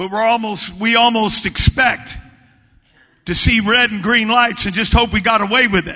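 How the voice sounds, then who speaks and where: Raised and projected, the voice moves at a moderate pace with a warm, animated tone that is also bright and sharp. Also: man, high pitch for a man. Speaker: preacher. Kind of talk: sermon at a revival camp meeting. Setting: church camp meeting with live congregation. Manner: animated, fervent preaching with call-and-response urging; warm, conversational, humorous asides.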